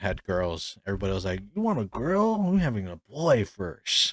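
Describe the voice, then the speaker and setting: Here a man uses a plain, everyday voice at a moderate pace with ordinary pitch variation, heard with a dry, close sound and no echo. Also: very clean recording, silent background. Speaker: podcast host. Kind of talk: casual chat.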